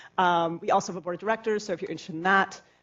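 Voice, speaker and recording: Very fast, fairly even intonation from a woman at a medium pitch. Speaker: nonprofit theater executive director. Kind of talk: conference talk.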